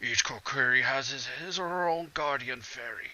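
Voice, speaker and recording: Raspy put-on character voice from a man, fairly high in pitch, at a moderate pace. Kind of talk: comic overacting. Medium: game stream. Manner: archaic, solemn.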